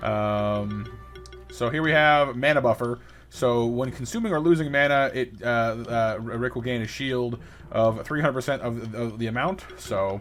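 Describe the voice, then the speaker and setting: A man talks at a medium pitch, with ordinary pitch variation. Music plays in the background. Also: moderate pace. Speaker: gaming YouTuber. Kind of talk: let's play commentary. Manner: halting with repetitions.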